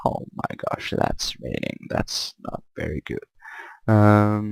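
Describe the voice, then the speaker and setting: With a French accent, a man speaks at a very slow pace. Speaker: gaming YouTuber. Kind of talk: tutorial. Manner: halting, frequent repetitions.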